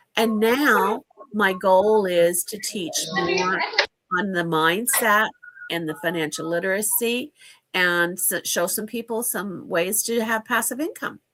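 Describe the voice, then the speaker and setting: A woman with a normal speaking voice talks fairly slowly in a Canadian accent, at a medium pitch with ordinary pitch variation. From Canada. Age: 60s. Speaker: financial educator. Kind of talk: interview.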